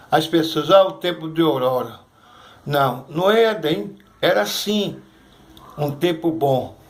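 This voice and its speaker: With audible room echo, a man with a fairly high voice speaks at a very slow pace. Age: 60s. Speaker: churchgoer giving testimony. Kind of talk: testimony. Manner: halting.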